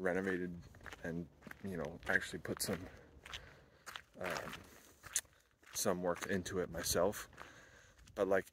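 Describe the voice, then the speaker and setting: A man's very deep, low pitch with fairly even intonation, in a dry sound with no echo, over noticeable background noise. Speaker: van-life vlogger. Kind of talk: casual vlog chat. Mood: reflective, thoughtful. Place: open country. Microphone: phone near.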